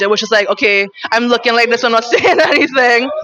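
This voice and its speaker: Noticeable background noise runs under a woman's voice. She speaks at a fairly high pitch with lively intonation. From Trinidad, Chinese-Trinidadian. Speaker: stand-up comedian. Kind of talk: casual interview.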